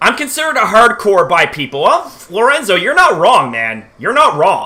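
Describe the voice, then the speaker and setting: A man's raised, projected voice moves at a fairly slow pace with very wide pitch swings. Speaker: YouTuber live streamer. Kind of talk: casual live stream chat. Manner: halting, many fillers.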